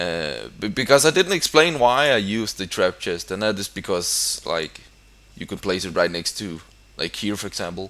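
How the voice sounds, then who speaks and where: Fairly low in pitch, a man speaks in a bright, sharp tone with big swings in loudness. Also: lively intonation, moderate pace. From Denmark. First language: Danish. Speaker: gaming YouTuber. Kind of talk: gameplay commentary. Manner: halting.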